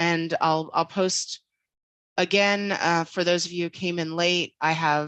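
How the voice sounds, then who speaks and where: A woman with a Philadelphia accent speaks at a fairly slow pace and medium pitch in a flat monotone against a quiet background. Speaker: infosec professional, guest speaker. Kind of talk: online talk to students. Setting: video call. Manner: casual, many fillers.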